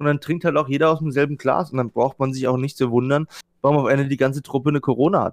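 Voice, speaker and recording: The delivery comes at a very fast pace with monotone, flat intonation. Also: man, fairly high pitch for a man. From Baden-Württemberg, Germany. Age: 20s. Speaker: event technician. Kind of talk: casual chat.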